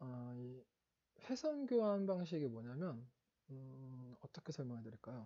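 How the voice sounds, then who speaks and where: Somewhat breathy with a dark, mellow tone, a man speaks very slowly at medium pitch with ordinary pitch variation. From Seoul, South Korea. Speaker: exam prep instructor. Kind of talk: lecture. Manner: halting, many fillers and self-corrections.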